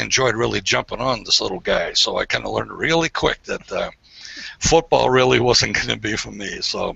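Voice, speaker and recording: With an American accent, a man speaks at a moderate pace over noticeable background noise. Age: 60s. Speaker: online hangout guest telling life story. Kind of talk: casual personal storytelling. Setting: video call. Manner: hesitant, many fillers.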